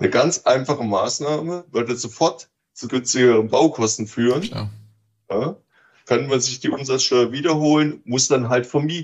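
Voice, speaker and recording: Ordinary pitch variation comes through as the speaker keeps a moderate pace. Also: man, medium pitch for a man. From East Germany. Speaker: real estate executive. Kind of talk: interview. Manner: hesitant with fillers.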